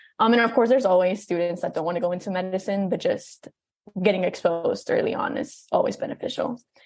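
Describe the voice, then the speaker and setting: Somewhat breathy, a woman talks at a very fast pace. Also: medium pitch for a woman, ordinary pitch variation. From Texas, Brownsville / Mexico. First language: Spanish. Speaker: college student. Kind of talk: interview.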